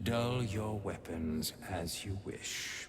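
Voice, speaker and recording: Someone uses a put-on character voice against clear background noise. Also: man, fairly low pitch for a man. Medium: video game. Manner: archaic, formal speech; imperious.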